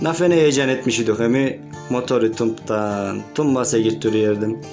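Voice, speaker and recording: Music plays in the background while a man speaks at a fairly slow pace. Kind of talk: humorous poetic love letter reading.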